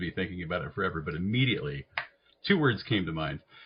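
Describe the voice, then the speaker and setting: Here a man talks at a very fast pace. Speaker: psychiatric nurse practitioner. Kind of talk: interview conversation.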